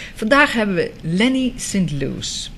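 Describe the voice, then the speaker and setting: Noticeable background noise sits behind a woman with a Dutch accent. Her medium pitch swings very widely. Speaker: TV talk show host. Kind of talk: TV show presenting.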